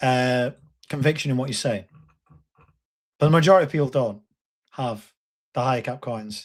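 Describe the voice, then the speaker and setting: The delivery moves at a moderate pace, broken by long, frequent pauses, with ordinary pitch variation. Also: man, medium pitch for a man. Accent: Lancashire. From northern England, Bolton. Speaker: crypto YouTuber. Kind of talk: live stream talk. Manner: animated.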